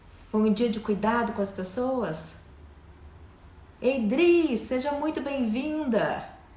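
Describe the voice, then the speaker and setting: A woman's fairly high, warm-toned voice in a Minas Gerais accent, lively in intonation, at a very slow pace with long, frequent pauses, amid audible room echo and noticeable background noise. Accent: mineiro. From Minas Gerais, Brazil. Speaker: live stream host. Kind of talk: live stream chat, welcoming viewers. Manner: warm, lively.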